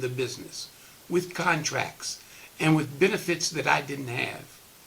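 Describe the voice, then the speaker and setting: Noticeable background noise sits behind a man speaking at a moderate pace with a fairly high pitch and ordinary pitch variation. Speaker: retired politician. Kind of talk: testimonial speech. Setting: recorded virtual program.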